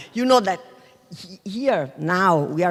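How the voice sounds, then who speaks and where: A woman speaks in a southern Italian accent with lively intonation. Her tone is dark and mellow. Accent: Taranto Italian accent in English. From Taranto, southern Italy. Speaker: business school professor. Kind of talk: panel talk. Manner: halting.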